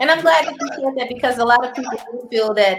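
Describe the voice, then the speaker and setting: With music in the background, a woman speaks in lively intonation. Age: 40s. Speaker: podcast host. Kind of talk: casual interview chat.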